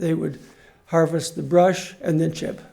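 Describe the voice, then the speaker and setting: Audible room echo surrounds the recording. A man speaks in a fairly high pitch. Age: 80s+. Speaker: resident commenting at public meeting. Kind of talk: public comment at town hall.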